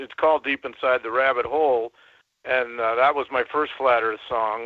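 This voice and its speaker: An ordinary speaking voice from a man at medium pitch, with fairly even intonation and a moderate pace. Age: 60s. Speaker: caller, songwriter. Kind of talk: call-in conversation.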